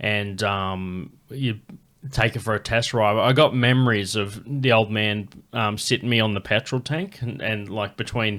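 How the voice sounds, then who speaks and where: On a very clean recording with a silent background, a man with an Australian accent speaks at a fairly slow pace, with fairly low pitch and fairly even intonation. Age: 30s. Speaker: comedian and podcast host. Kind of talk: casual chat.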